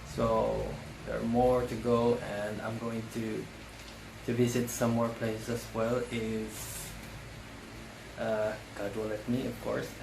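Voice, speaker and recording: A man with a non-native accent and a medium pitch speaks at a very slow pace in a monotone, flat delivery, with long, frequent pauses. Noticeable background noise and audible room echo fill the recording. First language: not English. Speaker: vlogger. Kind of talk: casual vlog. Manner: halting, many fillers.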